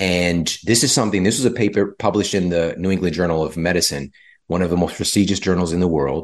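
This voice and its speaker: Very deep and low in pitch, a man with an American accent talks at a very fast pace with ordinary pitch variation and very even loudness. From US, low-income community. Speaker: health author and podcaster. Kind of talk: interview conversation.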